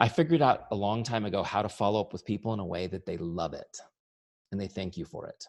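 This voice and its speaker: Animated and fairly quick, a man speaks with very wide pitch swings. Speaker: business coach and software founder. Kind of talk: training webinar.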